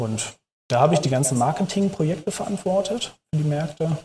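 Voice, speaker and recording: The speaker is a man. He talks at a moderate pace. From Hamburg, northern Germany. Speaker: food startup consultant. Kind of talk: interview. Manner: hesitant, many filler sounds.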